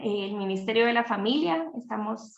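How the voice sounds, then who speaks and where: Using a plain, everyday voice, a woman talks at a fairly slow pace in a medium pitch with ordinary pitch variation. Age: 30s. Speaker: teacher and family ministry leader. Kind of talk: interview on livestream.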